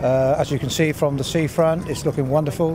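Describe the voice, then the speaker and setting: Over noticeable background noise, a man talks at a very fast pace with a fairly high pitch and a monotone, flat intonation. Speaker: interviewee, local resident. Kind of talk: street interview.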